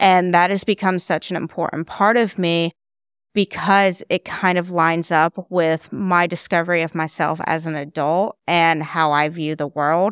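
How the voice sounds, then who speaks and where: A woman with an American accent and a normal speaking voice talks at a moderate pace in a fairly low pitch with fairly even intonation, the sound dry and close with no echo on a very clean recording with a silent background. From US South. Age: 20s. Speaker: mental health content creator. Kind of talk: casual interview.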